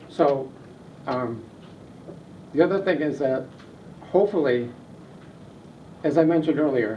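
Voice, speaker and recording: A man with an American accent speaks at a fairly high pitch, with audible room echo. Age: 70s. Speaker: neighborhood group leader. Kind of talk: public meeting discussion. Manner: repetitive, halting.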